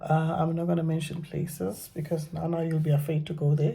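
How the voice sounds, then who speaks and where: This woman's voice sits at a fairly low pitch. Her tone is dark and mellow. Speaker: vlogger sharing personal story. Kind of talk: personal testimony vlog. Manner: halting, many fillers and repetitions.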